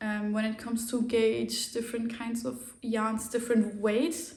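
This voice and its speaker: Speaking in a German accent, a woman talks at a fairly high pitch. Her pace is fairly slow, and audible room echo is present. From Germany. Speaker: knitting podcaster. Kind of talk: casual chat.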